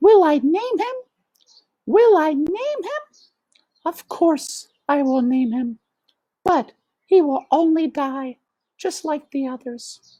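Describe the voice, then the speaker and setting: High and squeaky, a put-on character voice moves at a fairly slow pace with long, frequent pauses. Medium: read story. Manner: melodramatic, sighing.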